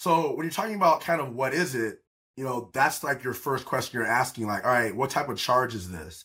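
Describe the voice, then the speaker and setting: The tone is bright and sharp, with lively intonation. The pace is fairly quick. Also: man. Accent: American. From US South, Atlanta. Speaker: criminal defense attorney. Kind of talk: podcast interview.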